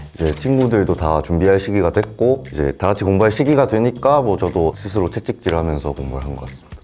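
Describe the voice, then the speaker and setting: Over background music, a man with a very deep, low pitch talks very fast with hardly any pauses, his pitch swinging very widely. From South Gyeongsang, Changnyeong County (Korea). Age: 20s. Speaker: newly qualified legal professional. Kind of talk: interview.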